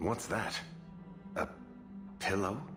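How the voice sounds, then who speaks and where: A man puts on a character voice, pitched fairly low. Music plays clearly in the background. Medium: video game. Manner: wry, joking.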